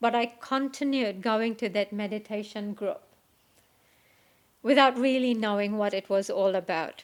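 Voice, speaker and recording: On a very clean recording with a silent background, a woman speaks with a non-native accent. Her pitch is fairly high, and she takes long, frequent pauses. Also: fairly even intonation, moderate pace. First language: not English. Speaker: meditation teacher. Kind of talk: spiritual talk. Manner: hesitant, with frequent fillers.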